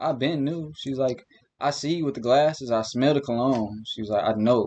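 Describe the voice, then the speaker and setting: A man with an American accent, medium pitch, an ordinary speaking voice, moderate pace and ordinary pitch variation. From northern Illinois, Elgin. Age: 20s. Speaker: artist and musician. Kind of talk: casual chat.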